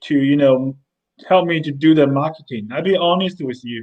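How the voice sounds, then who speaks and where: A man speaks with a Chinese accent. His pitch varies in an ordinary way. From mainland China. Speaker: company CEO. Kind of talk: interview. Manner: halting, repeats words.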